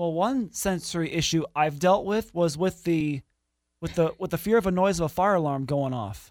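Speaking with an American accent, a man has a high voice and ordinary pitch variation. He keeps a moderate pace in a very clean recording with a silent background. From US Midwest. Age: 20s. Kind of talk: interview.

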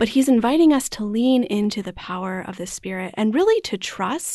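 A woman speaks with an American accent and a dark, mellow tone. Her pace is moderate. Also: quiet background. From US Midwest (Wisconsin, partly Arizona). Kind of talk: casual faith conversation.

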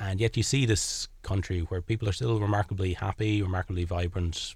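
A man with a Kilkenny Irish accent, somewhat breathy and at a fairly quick pace. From Ireland, Kilkenny. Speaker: charity volunteer. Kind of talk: interview. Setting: studio.

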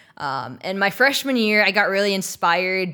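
Bright and sharp in tone, the voice carries an American accent at a fairly quick pace. Pitch variation is ordinary, and the recording is very clean with a silent background. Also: woman. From Texas. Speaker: film and theatre composer. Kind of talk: interview.

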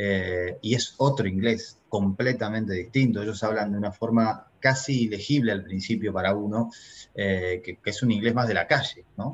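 A man with a normal speaking voice talks at a moderate pace, fairly low in pitch, against a quiet background. His intonation is fairly even, though his loudness swings widely. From Argentina. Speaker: real estate investor, entrepreneur. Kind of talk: interview.

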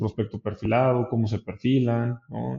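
In an unremarkable speaking voice, a man talks at a medium pitch and moderate pace with fairly even intonation. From Mexico, San Luis Potosí. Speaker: startup co-founder. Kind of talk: interview.

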